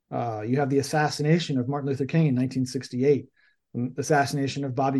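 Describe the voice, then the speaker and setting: Against a quiet background, a man with an American accent speaks in a dark, mellow tone at a fairly high pitch. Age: 40s. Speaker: political journalist and author. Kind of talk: interview.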